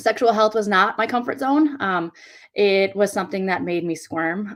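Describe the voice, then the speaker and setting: With an American accent and lively intonation, a woman speaks on a very clean recording with a silent background. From US Upper Midwest, western Wisconsin. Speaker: direct sales consultant. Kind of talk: interview.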